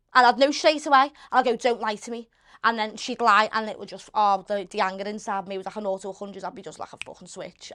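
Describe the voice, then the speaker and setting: A woman's fairly high voice with a Liverpool accent at a very fast pace, against a quiet background. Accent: Liverpool (Scouse). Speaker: interview guest. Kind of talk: casual, working-class colloquial. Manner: blunt, animated, swears freely.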